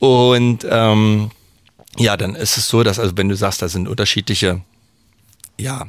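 A man is speaking. His pace is fairly slow. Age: 40s. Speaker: master baker and bread sommelier. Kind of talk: radio interview. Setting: radio studio.

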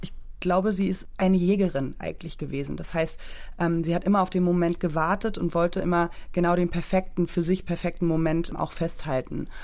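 Her fairly low-pitched voice stays monotone and flat as this woman speaks. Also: fairly quick pace. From Berlin, Germany. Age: 30s. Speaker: artist and photographer. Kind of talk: casual discussion. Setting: studio.

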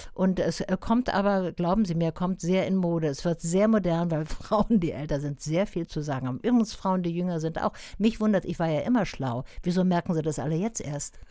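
The voice has a dark, mellow tone, moving at a moderate pace with hardly any pauses. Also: woman, fairly low pitch for a woman, ordinary pitch variation. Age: 70s. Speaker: cabaret artist and actress. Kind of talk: radio interview.

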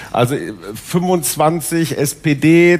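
Fairly even intonation from a man, with noticeable background noise behind. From Westphalia. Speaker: newspaper columnist. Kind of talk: panel discussion. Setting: stage with audience.

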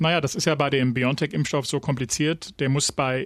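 A plain, everyday voice moves at a fairly quick pace over a quiet background. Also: man. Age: 40s. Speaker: radio news podcast host. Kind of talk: casual news discussion.

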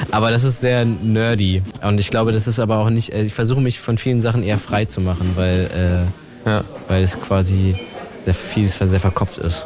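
Over noticeable background noise, a man with fairly low pitch speaks at a moderate pace, his intonation fairly even and his loudness very even. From Brandenburg, Germany (Teltow near Berlin). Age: young. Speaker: rapper. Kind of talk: casual chat.

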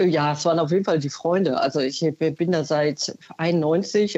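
Her voice is fairly low for a woman, dark and mellow in tone, with fairly even intonation. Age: 50s. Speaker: caller, consumer research employee. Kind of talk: phone-in testimony. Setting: phone call.

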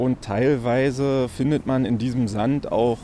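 A man talks at a fairly slow pace. He has an ordinary speaking voice. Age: 30s. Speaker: construction site manager. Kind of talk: on-site interview.

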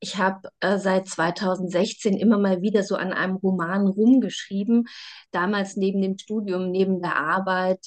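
The intonation stays monotone and flat. The pace is fairly slow. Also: woman, medium pitch for a woman. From Saxony, eastern Germany (Bautzen). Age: 30s. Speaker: novelist and journalist. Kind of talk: interview.

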